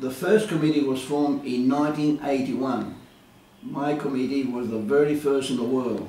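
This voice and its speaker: With an Australian accent, a man speaks with ordinary pitch variation. The recording has audible room echo and noticeable background noise. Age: 70s. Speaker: retired insurance broker and community leader. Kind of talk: interview. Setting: his office. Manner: hesitant, many fillers.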